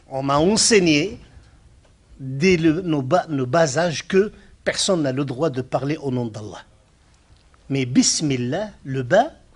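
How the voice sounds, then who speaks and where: Using lively intonation and a fairly high pitch, a man speaks at a very slow pace. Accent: Moroccan. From Morocco. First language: Arabic (speaking French). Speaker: Islamic scholar, speaker. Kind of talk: lecture.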